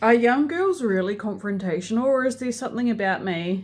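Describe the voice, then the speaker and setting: The speaker is a woman with a New Zealand accent. She goes at a moderate pace with ordinary pitch variation. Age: 30s. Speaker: vlogger. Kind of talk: casual vlog monologue. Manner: quiet; hesitant, many fillers.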